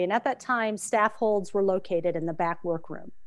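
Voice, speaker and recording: Speaking fairly quickly, a woman uses a normal speaking voice. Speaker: author. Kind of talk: interview.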